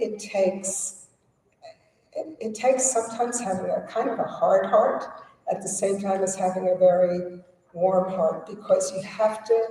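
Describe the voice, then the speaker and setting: Amid audible room echo, a woman with an American accent talks at a moderate pace. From United States. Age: 70s. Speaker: activist. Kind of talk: panel discussion.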